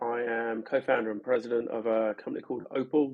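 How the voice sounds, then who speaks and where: Speaking at a moderate pace, a man talks with a London accent. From London, England. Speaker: startup co-founder. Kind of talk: podcast interview. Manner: hesitant, many fillers and repetitions.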